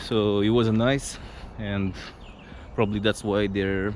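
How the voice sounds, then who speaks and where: The speaker is a man with a Romanian accent and a fairly low pitch. His intonation stays monotone and flat. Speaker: travel vlogger. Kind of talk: casual vlog narration. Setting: outdoors. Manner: halting, with fillers and restarts.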